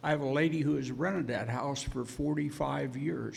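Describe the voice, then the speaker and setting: In a room with audible echo, a man speaks at a moderate pace, fairly high in pitch, with vocal fry and fairly even intonation. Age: 70s. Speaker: landowner. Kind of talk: public hearing testimony. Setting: public hearing.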